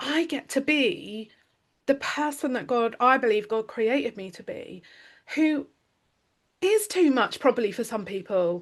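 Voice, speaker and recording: A woman with a British accent speaks at a fairly slow pace with a high pitch, very wide pitch swings, and big swings in loudness. Long, frequent pauses break up her speech over a quiet background. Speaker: podcast host. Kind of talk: casual chat. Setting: recorded conversation with her coach. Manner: animated.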